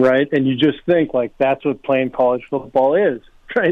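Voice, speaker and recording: Here a man speaks in an ordinary speaking voice at a medium pitch. His intonation stays fairly even. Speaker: former football player. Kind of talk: casual interview. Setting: phone call.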